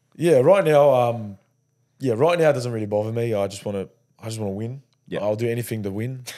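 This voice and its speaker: The tone is dark and mellow, with an Australian accent. The pace is very fast. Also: man, medium pitch for a man, ordinary pitch variation. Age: 20s. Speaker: rugby league player. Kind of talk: casual chat.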